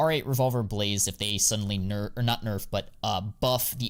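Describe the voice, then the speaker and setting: A man's fairly low voice at a fairly quick pace with ordinary pitch variation, in a very clean recording with a silent background. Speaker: CS2 skin investing streamer. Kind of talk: live stream chat. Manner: fast; animated.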